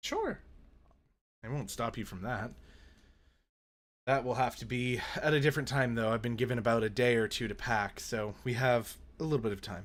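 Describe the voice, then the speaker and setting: A man speaks at a moderate pace in a put-on character voice that is raspy and medium in pitch, with fairly even intonation and long, frequent pauses. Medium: actual play. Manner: measured, calm.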